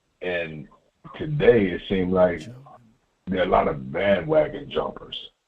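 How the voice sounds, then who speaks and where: A man talks at a very deep, low pitch with very wide pitch swings. There is audible room echo. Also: moderate pace. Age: 60s. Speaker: caller. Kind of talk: phone-in call.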